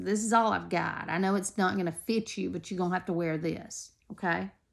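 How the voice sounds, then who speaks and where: A woman does a raspy, put-on character voice at a medium pitch and a fairly quick pace in a very clean recording with a silent background. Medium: read story. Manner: gruff, plainspoken.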